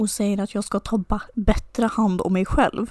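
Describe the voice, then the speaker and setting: A woman's plain, everyday voice, fairly high in pitch, at a moderate pace with a dry, close sound and no echo. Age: 20s. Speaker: podcast co-host. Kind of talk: casual chat.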